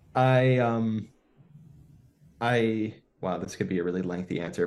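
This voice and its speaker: In a Western New York accent, a man with a fairly low pitch speaks with lively intonation over a quiet background. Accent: Western New York American. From US, Buffalo, New York. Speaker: neuroscientist. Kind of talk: podcast interview.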